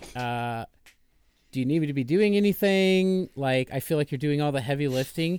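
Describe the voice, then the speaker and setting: An ordinary speaking voice with ordinary pitch variation comes at a moderate pace. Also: man, fairly high pitch for a man. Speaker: podcast guest and audio editor. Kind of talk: casual chat. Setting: remote call, late at night.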